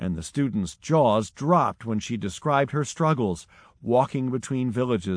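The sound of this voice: The delivery is an unforced reading voice with lively intonation.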